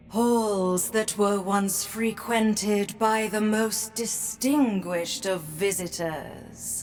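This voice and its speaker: A woman uses a put-on character voice at a medium pitch, speaking very slowly with hardly any pauses. Her loudness stays very even and her intonation fairly even, with clear background noise behind her. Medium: video game. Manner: elegant, ominous.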